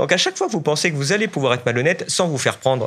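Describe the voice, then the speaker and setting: An animated tone with very wide pitch swings. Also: man. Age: 30s. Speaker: economist; interview guest, economic commentator. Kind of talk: panel discussion; interview answer. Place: meeting room. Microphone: studio mic.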